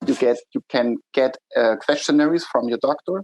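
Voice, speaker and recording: A man with a German accent speaks at a fairly quick pace. The sound is dry and close, with no echo. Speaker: startup executive. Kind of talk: interview.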